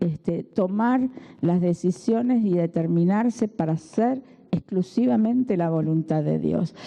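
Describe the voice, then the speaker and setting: In a normal speaking voice, a woman talks at a fairly slow pace with lively intonation. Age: 60s. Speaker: preacher. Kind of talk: sermon.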